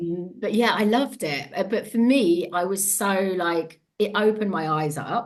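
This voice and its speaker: A woman with a Devon accent speaks at medium pitch with ordinary pitch variation and hardly any pauses. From England, Devon. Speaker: empowerment coach and former TV presenter. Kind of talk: podcast interview. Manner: fast, words jumbled at times; animated.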